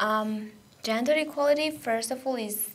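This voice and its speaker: A woman speaks at a very slow pace with audible room echo. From Georgia. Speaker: radio volunteer. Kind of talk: radio interview. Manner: halting, many fillers.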